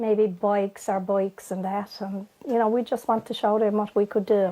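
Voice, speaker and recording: Over a very clean recording with a silent background, a woman with a Newfoundland accent speaks fairly slowly at a medium pitch, her dark, mellow tone paired with monotone, flat intonation. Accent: Newfoundland Irish. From Newfoundland, Fogo Island. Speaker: local resident. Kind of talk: interview.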